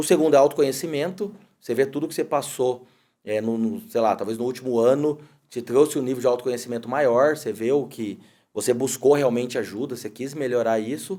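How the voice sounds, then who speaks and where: A man speaks at a fairly quick pace with a dark, mellow tone and ordinary pitch variation, on a very clean recording with a silent background. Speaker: podcast host. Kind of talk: casual interview chat. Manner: hesitant, repeats words.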